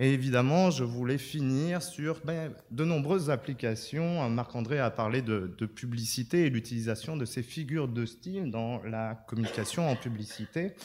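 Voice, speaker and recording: This man talks at a fairly slow pace with hardly any pauses, using a medium pitch and ordinary pitch variation. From France. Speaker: neuroscientist. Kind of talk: conference talk. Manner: halting, many fillers and repetitions.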